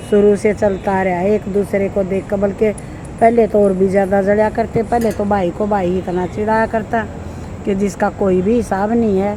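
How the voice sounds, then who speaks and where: A woman's medium-pitched voice in a Haryanvi accent, monotone and flat, with noticeable background noise. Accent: Haryanvi-accented Hindi. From Haryana, India. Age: 60s. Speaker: vlogger giving life advice. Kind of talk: casual monologue to camera.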